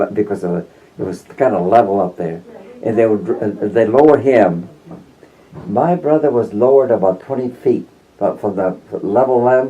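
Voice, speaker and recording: Noticeable background noise surrounds a man with a fairly low pitch. He leaves long, frequent pauses, and his pitch varies in an ordinary way. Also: moderate pace. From Mimbres Valley, New Mexico. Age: 90s. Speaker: World War II veteran. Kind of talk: interview answer.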